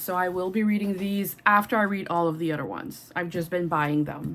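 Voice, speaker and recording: This woman talks with a Quebec accent and ordinary pitch variation. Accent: French-Canadian accent in English. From Quebec, Canada. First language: French. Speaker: booktuber. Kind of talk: casual chat. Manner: animated.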